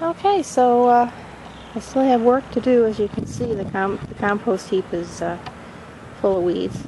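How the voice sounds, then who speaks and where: Speech unfolds very slowly while background noise remains clearly audible. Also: woman. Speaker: home gardener vlogger. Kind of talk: garden walkthrough vlog. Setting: outdoors in garden.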